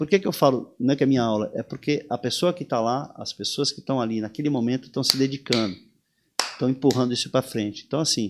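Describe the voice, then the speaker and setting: Speaking at a fairly quick pace, a man uses medium pitch with ordinary pitch variation. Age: 60s. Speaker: surf instructor. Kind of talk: interview conversation. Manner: animated; halting with repetitions.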